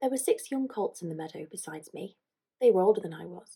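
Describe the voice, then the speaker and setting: Very fast yet soft-spoken, a woman talks in a dark, mellow tone that is somewhat breathy. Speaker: ASMR creator. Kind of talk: reading aloud.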